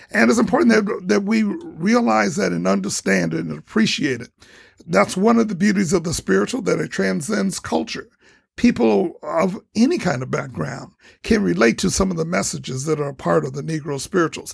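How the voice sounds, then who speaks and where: A man speaks with an American accent, his pitch swinging very widely, with vocal fry throughout. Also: moderate pace. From Toledo, Ohio, US Midwest. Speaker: choir director and educator. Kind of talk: radio interview.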